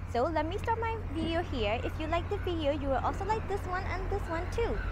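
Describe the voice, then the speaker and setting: There is noticeable background noise as a woman talks at a fairly quick pace, in a dry sound with no echo. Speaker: travel vlogger. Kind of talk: casual vlog chat. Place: street. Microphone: lapel.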